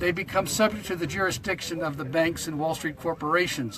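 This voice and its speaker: A man speaks at a moderate pace with a high pitch and ordinary pitch variation. Noticeable background noise can be heard. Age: 70s. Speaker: protester. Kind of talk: casual chat.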